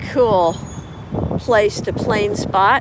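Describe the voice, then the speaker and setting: Over noticeable background noise, a woman speaks loudly. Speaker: live-stream plane spotting host. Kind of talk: live stream commentary. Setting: outdoors beside airport runways. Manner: loud after putting earplugs in.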